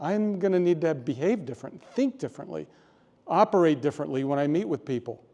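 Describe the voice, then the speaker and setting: The voice has a dark, mellow tone and ordinary pitch variation at a fairly quick pace. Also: man. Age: 60s. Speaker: public speaker. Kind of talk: prepared speech.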